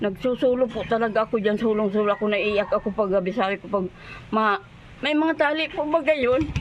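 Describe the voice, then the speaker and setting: A woman talks at a fairly quick pace with a fairly high pitch, over noticeable background noise. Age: 70s. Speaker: elderly villager in need. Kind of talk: interview testimony. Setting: outdoors by highway.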